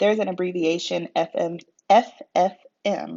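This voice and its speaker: In a put-on character voice, the speaker mumbles at a moderate pace with monotone, flat intonation. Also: woman, medium pitch for a woman. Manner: mumbling.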